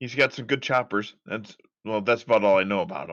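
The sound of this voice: At a fairly quick pace, a man speaks in a fairly low pitch. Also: fairly bright tone.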